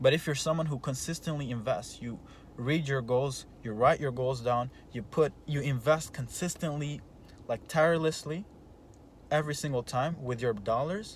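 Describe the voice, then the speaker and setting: Speaking at a moderate pace with a non-native accent, a man uses a fairly high, somewhat breathy voice and ordinary pitch variation. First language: not English. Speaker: entrepreneur coach. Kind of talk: motivational talk. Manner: halting, many repeated words; animated.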